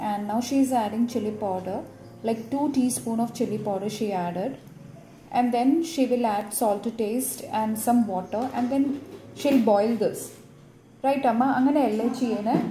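Amid light background noise and audible room echo, a woman speaks at a moderate pace with fairly even intonation and long, frequent pauses. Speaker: home cook vlogger. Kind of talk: casual vlog narration. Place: kitchen. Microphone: phone near.

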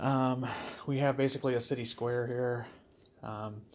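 At a moderate pace, a man is talking. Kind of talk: casual tour narration. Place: home room. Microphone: phone near.

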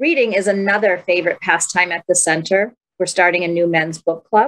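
A woman talks at a fairly quick pace with ordinary pitch variation. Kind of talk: program announcements. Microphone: webcam.

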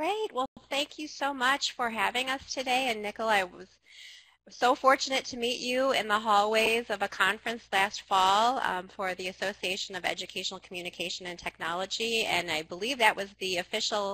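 At a fairly quick pace, a woman speaks with a bright, sharp tone and ordinary pitch variation, in a dry sound with no echo. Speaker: presenter. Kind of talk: webinar presentation opening.

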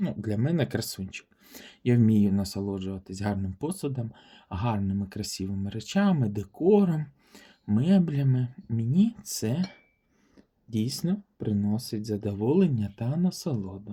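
Pitch swings very widely over a fairly slow pace, with a dark, mellow tone and a somewhat breathy quality. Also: man, medium pitch for a man. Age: 40s. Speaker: vintage porcelain YouTuber. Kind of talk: product showcase video. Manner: warm, enthusiastic.

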